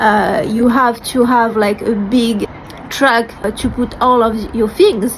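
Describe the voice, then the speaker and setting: Speaking at a very slow pace, a woman with a French accent has a fairly high pitch and fairly even intonation, with noticeable background noise behind her. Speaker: vlogger sharing personal story. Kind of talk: personal testimony to camera. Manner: hesitant, with fillers.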